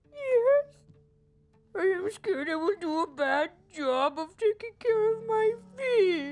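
With music in the background, a cartoonish character voice swings very widely in pitch at a fairly slow pace, leaving long, frequent pauses. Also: woman, extremely high pitch for a woman. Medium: puppet. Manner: earnest, formal speech without contractions.

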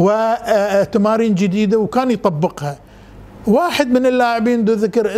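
With a high pitch and ordinary pitch variation, a man talks at a moderate pace. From Bahrain, Manama; Bahrain. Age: 70s. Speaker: scout leader and visual artist; interviewee. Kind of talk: interview. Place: home room. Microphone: lapel.

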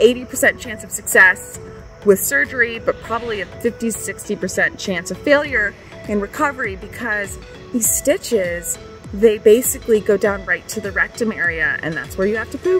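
A woman at a moderate pace with big swings in loudness, faint music in the background. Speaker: personal storyteller. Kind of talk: casual vlog chat. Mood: candid, matter-of-fact. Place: street. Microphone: phone near.

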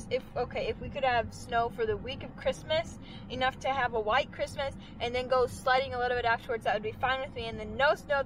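The voice moves at a fairly quick pace. The sound is dry with no echo, and there is noticeable background noise. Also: woman. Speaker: farm vlogger. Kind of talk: casual vlog chat. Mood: grumbling, amused about snow. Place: car. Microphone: phone near.

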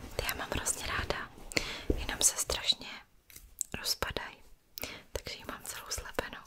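The voice is a woman's. She whispers at a moderate pace. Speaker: ASMR creator. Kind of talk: soft-spoken show-and-tell chat. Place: home room. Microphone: studio mic.

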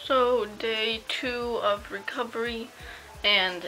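Faint music plays behind a woman whose tone is tired and whose intonation stays fairly even. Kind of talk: casual vlog chat. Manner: slow, tired post-surgery talk, swollen mouth. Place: home room. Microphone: phone near.

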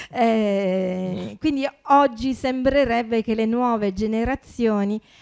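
Against a quiet background, a woman speaks with a dark, mellow tone. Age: 50s. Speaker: festival organizer and moderator; moderator. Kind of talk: panel moderation. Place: meeting room. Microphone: handheld.

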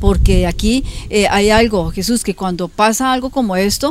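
With ordinary pitch variation at a medium pitch, a woman speaks in a dry sound with no echo and light background noise. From Colombia. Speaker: local politician. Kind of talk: TV interview. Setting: her home. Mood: earnest, defending her innocence. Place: garden.

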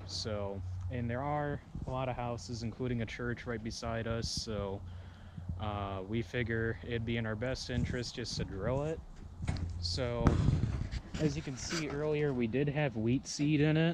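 Over noticeable background noise, a man talks fairly slowly with long, frequent pauses in a dry sound with no echo. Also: ordinary pitch variation. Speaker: farmer vlogger. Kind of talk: casual vlog chat. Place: farm machine. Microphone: phone near.

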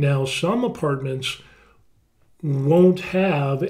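A man's somewhat breathy voice with an American accent, a dark, mellow tone, fairly high pitch, and fairly even intonation. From United States. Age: 50s. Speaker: YouTuber. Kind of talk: screen-share tutorial; tutorial. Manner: casual, with many fillers. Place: home room.

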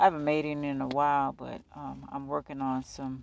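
A man speaks at a fairly slow pace. The sound is dry with no echo, over light background noise. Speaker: tarot reader. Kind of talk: casual reading chat. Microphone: phone near.

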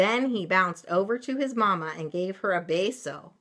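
Someone reads aloud in a natural voice here.

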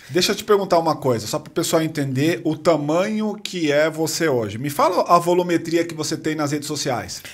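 A plain, everyday voice runs at a fairly quick pace with hardly any pauses and ordinary pitch variation. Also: man, fairly high pitch for a man. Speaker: podcast host. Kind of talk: casual interview. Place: studio. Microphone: studio mic.

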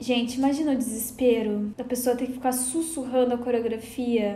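A woman talks with a Gaúcho Brazilian accent at a high pitch. Audible room echo surrounds her voice. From Rio Grande do Sul, Brazil. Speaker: podcast host. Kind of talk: casual chat, podcast hosting. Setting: video call. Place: home room.

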